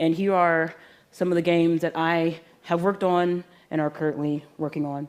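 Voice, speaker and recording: A woman speaks in a monotone with flat intonation and a fairly low pitch. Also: very clean recording, silent background. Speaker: video game composer. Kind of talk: conference presentation. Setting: stage with audience. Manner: fast.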